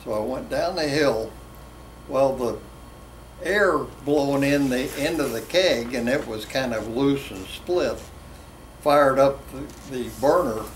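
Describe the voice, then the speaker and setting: A man with an American accent speaks at a fairly slow pace in a fairly high pitch with ordinary variation. Long, frequent pauses, audible room echo and noticeable background noise fill the recording. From West Virginia. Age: 80s+. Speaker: drag racer. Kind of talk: interview storytelling.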